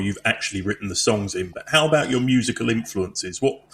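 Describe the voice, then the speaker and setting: His intonation is lively. The man's pitch is medium. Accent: Essex. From Essex, England. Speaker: podcast host and musician. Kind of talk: interview.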